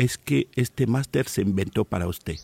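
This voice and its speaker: A man talks at a fairly slow pace in a dark, mellow, somewhat breathy tone with lively intonation. The sound is dry and close, with no echo. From Cameroon, rural inland village. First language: a Cameroonian language (speaking Spanish). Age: 50s. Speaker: professional oral storyteller. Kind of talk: in-depth interview.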